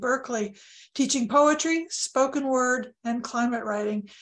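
A woman speaks at a high pitch and a moderate pace. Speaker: event host introducing speaker. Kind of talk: formal speaker introduction. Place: office. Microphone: webcam.

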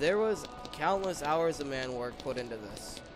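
Music plays in the background. A man speaks at a moderate pace in a fairly high pitch. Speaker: gaming YouTuber. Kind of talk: gameplay commentary. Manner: stuttering, repeated words; casual.

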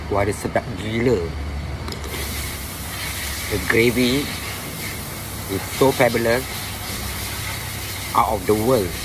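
Over clear background noise, the slow speech shows ordinary pitch variation and long, frequent pauses.

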